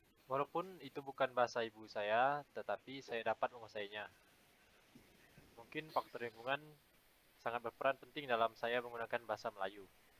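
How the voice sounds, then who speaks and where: Talking at a fairly quick pace, a man with medium pitch and ordinary pitch variation has a normal speaking voice. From Indonesia, Pontianak, West Kalimantan. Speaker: university student. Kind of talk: class presentation.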